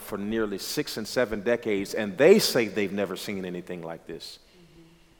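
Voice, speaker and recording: With an American accent, a man speaks in a plain, everyday voice, fairly low in pitch, at a fairly quick pace with ordinary pitch variation. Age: 30s. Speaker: pastor. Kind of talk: casual chat.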